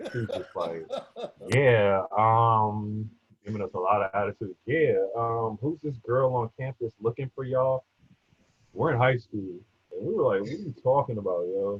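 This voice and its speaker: At an average speed, a man talks with a somewhat breathy sound. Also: ordinary pitch variation. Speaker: former college basketball player. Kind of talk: casual chat. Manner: animated.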